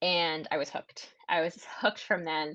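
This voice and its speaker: A woman with an American accent speaks at a fairly slow pace and fairly low pitch, in a plain, everyday voice. The background is quiet. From USA. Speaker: author and historian. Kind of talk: interview. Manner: conversational, with some stumbles.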